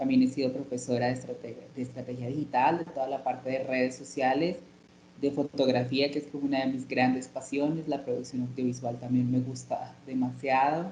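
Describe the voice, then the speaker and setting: A woman speaks at a very deep, low pitch. Her pace is fairly quick and her intonation monotone and flat. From Colombia, Armenia, Quindío. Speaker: journalist and LGBT activist. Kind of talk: interview. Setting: video call. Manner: halting, many fillers.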